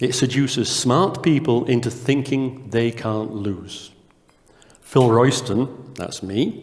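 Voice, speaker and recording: A man in a northern English accent speaks at a very slow pace with medium pitch and ordinary pitch variation. Audible room echo surrounds his voice. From northern England. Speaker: conference speaker, test company co-founder. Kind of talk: conference talk. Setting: conference stage with audience. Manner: quiet.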